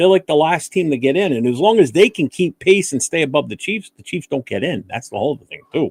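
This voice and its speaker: A man with an East Coast US accent talks at a fairly quick pace with hardly any pauses, his fairly high pitch carried by lively intonation. The sound is dry and close, with no echo. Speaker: sports podcast co-host. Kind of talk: casual sports chat. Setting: live streamed podcast.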